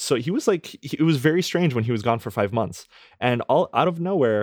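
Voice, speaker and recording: A man talks in a plain, everyday voice at a moderate pace with lively intonation. The recording is very clean with a silent background, dry and close with no echo. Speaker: podcast co-host. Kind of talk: casual chat. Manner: laughs often.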